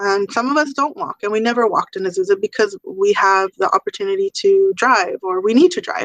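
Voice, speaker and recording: Fairly quick delivery from a woman, a normal speaking voice, ordinary pitch variation, dry, close sound with no echo. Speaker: school parent center presenter. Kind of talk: online parent meeting presentation. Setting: video call.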